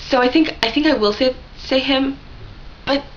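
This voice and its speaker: A woman's voice over noticeable background noise. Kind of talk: casual vlog talk to camera. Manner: fast, rambling.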